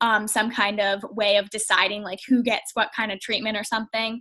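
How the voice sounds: A woman with a bright, sharp tone holds a medium pitch that moves very little.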